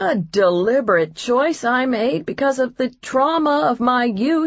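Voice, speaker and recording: A woman performs a put-on character voice with a high pitch. Her pace is fairly slow. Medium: read story. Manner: dry, joking.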